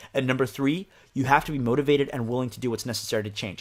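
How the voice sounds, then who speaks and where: Medium pitch and ordinary pitch variation in a man's voice. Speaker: diabetes health coach. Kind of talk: webinar sales pitch. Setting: webinar. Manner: fast.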